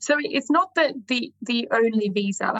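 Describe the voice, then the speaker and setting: Speaking fairly slowly, a woman's voice comes through somewhat breathy. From Sydney, Australia. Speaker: lawyer and visa consultant. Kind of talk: interview chat. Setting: video call.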